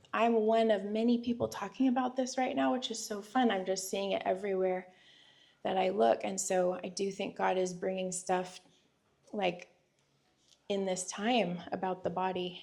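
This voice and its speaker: The speaker uses a raspy put-on character voice. The pace is moderate and the pitch variation ordinary. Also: woman, medium pitch for a woman. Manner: talking fast.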